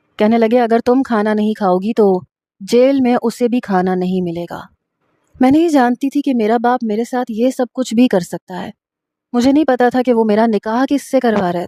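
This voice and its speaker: With a dark, mellow tone and a fairly high pitch, a woman speaks with ordinary pitch variation in a dry, close sound with no echo. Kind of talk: first-person romantic story narration.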